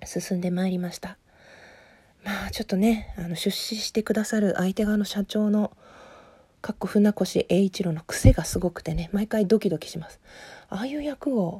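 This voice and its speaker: Her loudness swings widely as a woman speaks at a medium pitch with ordinary pitch variation. Her tone is dark and mellow, and somewhat breathy. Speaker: podcaster discussing a TV drama. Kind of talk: casual monologue. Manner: fast.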